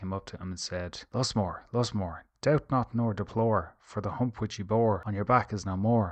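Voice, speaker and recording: A man with an Irish accent at a moderate pace, with fairly even intonation. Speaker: storyteller. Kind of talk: bedtime fairy tale reading. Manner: soft-spoken, calm.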